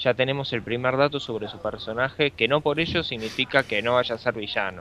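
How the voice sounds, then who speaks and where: A man speaks at a fairly quick pace. His medium pitch shows ordinary variation. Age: 20s. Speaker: podcast co-host. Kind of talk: casual chat. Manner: halting.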